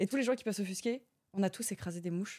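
A woman with a dark, mellow tone speaks very fast on a very clean recording with a silent background. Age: 30s. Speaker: streamer and show host. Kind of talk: casual chat.

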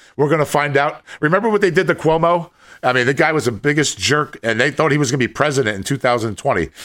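This man has a medium pitch, vocal fry and lively intonation, speaking at a very fast pace. The recording is very clean with a silent background. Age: 50s. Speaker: podcast co-host. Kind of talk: casual chat. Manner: halting, repeats words.

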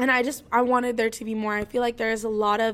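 A woman with an American accent speaks in a monotone, flat intonation at a fairly high pitch, captured in a very clean recording with a silent background. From US Midwest, Indiana. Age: 20s. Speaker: podcast host. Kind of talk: casual solo podcast monologue.

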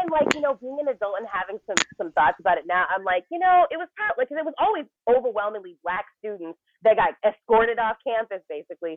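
The speech moves at a very fast pace with very wide pitch swings. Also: woman, fairly high pitch for a woman. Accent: American. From Texas, Arlington. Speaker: comedian. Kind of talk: casual chat.

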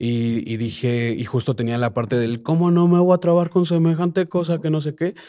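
In an ordinary speaking voice, a man speaks at a moderate pace with ordinary pitch variation, recorded very cleanly against a silent background. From Mexico City. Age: 20s. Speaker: reggaeton artist and producer. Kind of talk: casual interview.

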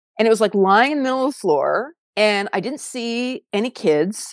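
Lively intonation from a woman with a Californian accent at a moderate pace, on a very clean recording with a silent background. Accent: General American, Californian. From US West Coast, San Diego. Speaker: photographer. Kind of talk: interview conversation. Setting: podcast studio.

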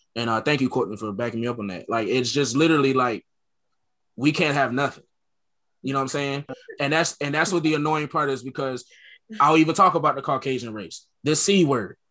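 A bright, sharp voice with an American accent moves at a fairly quick pace. Long, frequent pauses break it up against a quiet background. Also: man, fairly high pitch for a man, ordinary pitch variation. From Connecticut, US. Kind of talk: casual group discussion.

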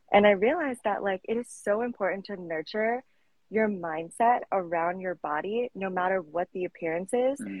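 A normal speaking voice with an American accent, at a moderate pace with ordinary pitch variation. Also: woman. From Colorado, US. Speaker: fitness coach. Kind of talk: casual interview. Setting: live stream.

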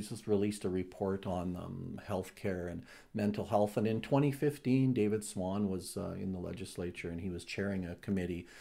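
A man at a fairly quick pace, fairly low in pitch, with a dark, mellow tone and ordinary pitch variation. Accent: Canadian Prairies. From southern Alberta, Canada. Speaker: provincial party leader, former mayor. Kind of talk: interview.

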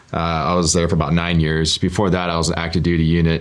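In an American accent, a man with a very deep, low voice talks at a very fast pace in a flat monotone, with noticeable background noise and audible room echo. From Oregon. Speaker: real estate investor and former military pilot. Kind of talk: interview.

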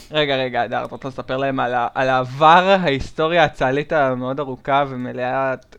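A man with an ordinary speaking voice talks at a moderate pace in a medium pitch, with fairly even intonation and hardly any pauses. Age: 20s. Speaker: podcast co-host. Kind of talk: casual chat.

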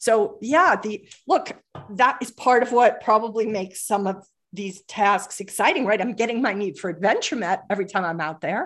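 An ordinary speaking voice from a woman, fairly high in pitch, with lively intonation at a moderate pace over a quiet background. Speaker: performance coach for traders and executives. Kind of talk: podcast interview.

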